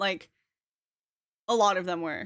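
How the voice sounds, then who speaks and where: On a very clean recording with a silent background, a woman with a slight Canadian accent speaks in a bright, sharp tone. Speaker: streamer. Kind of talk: casual chat. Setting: live stream.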